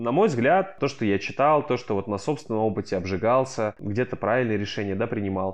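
A plain, everyday voice speaks at a moderate pace with lively intonation and hardly any pauses. The background is quiet. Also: man, medium pitch for a man. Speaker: startup founder. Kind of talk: interview.

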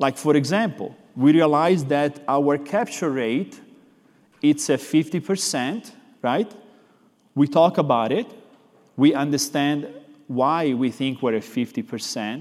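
Speaking with an Italian accent, a man with a fairly high pitch and lively intonation moves at a fairly slow pace with long, frequent pauses. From Florence, Italy. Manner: expressive, animated.

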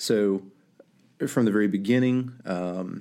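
A man's dark, mellow voice at a very deep, low pitch, on a very clean recording with a silent background. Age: 40s. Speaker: pastor. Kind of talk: interview.

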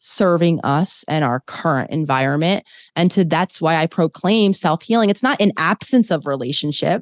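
A plain, everyday voice from a woman, fairly low-pitched with ordinary pitch variation and an American accent, at a moderate pace in a dry, close sound with no echo against a quiet background. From US, Philadelphia. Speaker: clinical psychologist. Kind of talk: interview conversation.

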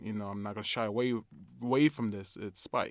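Using a plain, everyday voice, a man with a medium pitch and an American accent speaks with fairly even intonation. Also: very clean recording, silent background. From Brooklyn, New York. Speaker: film director. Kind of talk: casual interview.

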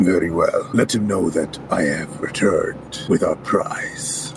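A man does a put-on character voice at a fairly slow pace, with clear background noise. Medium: actual play. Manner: proud, confident, regal.

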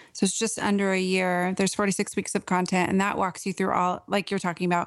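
A woman with an American accent speaks in a normal speaking voice at a medium pitch and a moderate pace. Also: very clean recording, silent background. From US Pacific Northwest (Portland, Oregon). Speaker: author and writing coach. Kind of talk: podcast interview.

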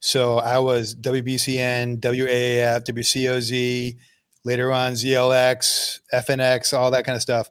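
Fairly slow, flat, monotone delivery from a man with a medium pitch and an American accent. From Boston, Massachusetts. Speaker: podcast host. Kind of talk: casual interview chat; scripted intro. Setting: video call.

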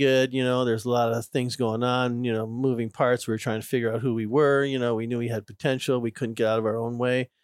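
A man with an American accent talks at a fairly quick pace in a plain, everyday voice of medium pitch. The recording is very clean with a silent background, and the sound is dry and close with no echo. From Minnesota. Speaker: ice hockey head coach. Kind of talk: interview.

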